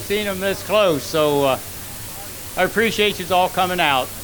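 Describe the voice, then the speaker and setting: A man talks at a high pitch with fairly even intonation. Audible room echo and noticeable background noise are present. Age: 80s+. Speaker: retired race car owner. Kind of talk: acceptance speech. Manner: halting.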